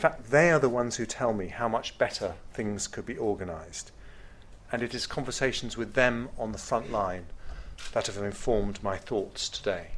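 Pitch variation is ordinary, and the pace is moderate. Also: man. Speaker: government minister giving keynote. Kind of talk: formal speech. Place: hall. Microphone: podium.

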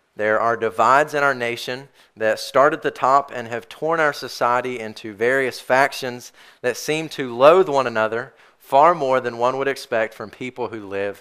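A man of medium pitch with a bright, sharp tone, ordinary pitch variation, big swings in loudness and a moderate pace, over a quiet background. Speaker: pastor. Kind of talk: sermon preached to a church congregation. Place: church.

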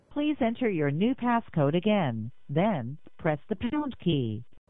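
Speaking at a slow pace, a woman makes big pitch swings. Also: fairly low pitch for a woman.

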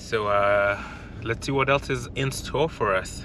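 Noticeable background noise surrounds a man whose fairly low voice has a bright, sharp tone and lively intonation. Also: dry sound with no echo. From US West Coast (Los Angeles). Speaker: wildlife photography vlogger. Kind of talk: casual chat; vlog narration. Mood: upbeat, enthusiastic. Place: car.

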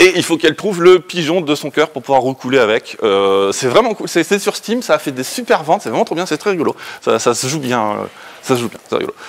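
At a fast pace, a man with a fairly high pitch makes big pitch swings.

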